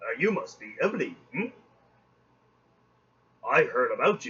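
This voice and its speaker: A man's booming, put-on character voice at a moderate pace. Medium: read story.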